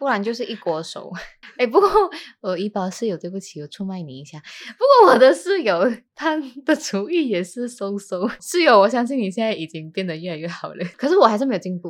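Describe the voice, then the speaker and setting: A woman talks fairly quickly at a fairly high pitch. Her pitch swings very widely and her loudness rises and falls sharply. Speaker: podcast host. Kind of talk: casual chat. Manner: soft-spoken. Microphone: new microphone.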